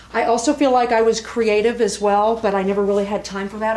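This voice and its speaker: Amid noticeable background noise and audible room echo, a woman talks very fast in a fairly high pitch with fairly even intonation. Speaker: spirit medium. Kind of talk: platform mediumship demonstration. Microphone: poor old video recording.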